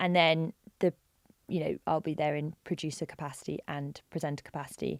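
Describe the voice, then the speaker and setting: A woman's very deep, low voice with vocal fry, fairly even intonation and a fairly quick pace, dry and close with no echo, on a very clean recording with a silent background. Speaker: video presenter and content executive. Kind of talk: interview. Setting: in-person podcast interview. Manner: fast; clear.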